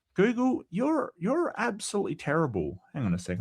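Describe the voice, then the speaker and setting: Speaking in an Australian accent, a man delivers his words at a very fast pace. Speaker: atheist philosophy commentator. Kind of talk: casual chat. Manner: halting.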